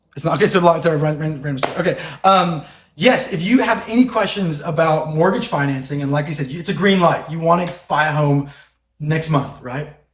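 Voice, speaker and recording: The speaker goes at a fairly quick pace with ordinary pitch variation, and room echo is audible. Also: man, fairly high pitch for a man. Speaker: mortgage lender. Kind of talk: podcast interview. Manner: fast; animated.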